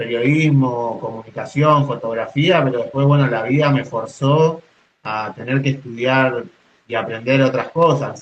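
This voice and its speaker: Somewhat breathy, a man talks at medium pitch and a fairly slow pace with ordinary pitch variation. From Argentine Patagonia. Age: 30s. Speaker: poet and mountain guide. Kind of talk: interview. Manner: halting, with frequent repetitions.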